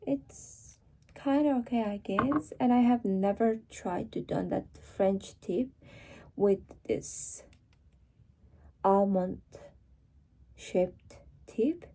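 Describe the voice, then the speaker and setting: With a Mongolian accent, a woman speaks at a very slow pace with long, frequent pauses, lively intonation, a somewhat breathy quality and a dark, mellow tone. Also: medium pitch for a woman. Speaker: vlogger. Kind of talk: casual vlog chat. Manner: casual, slightly halting.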